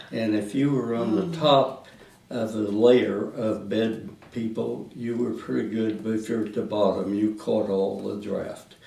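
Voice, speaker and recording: A man with a Midwestern American accent talks at a fairly slow pace. His pitch is medium, with ordinary variation. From Indiana, USA. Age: 90s. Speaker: World War Two army veteran. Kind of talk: oral history interview answer.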